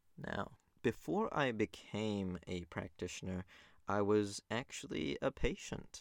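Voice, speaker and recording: With a New Zealand accent, a man talks at a fairly slow pace in a fairly low pitch with ordinary pitch variation, on a very clean recording with a silent background. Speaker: naturopath podcast host. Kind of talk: solo informational monologue.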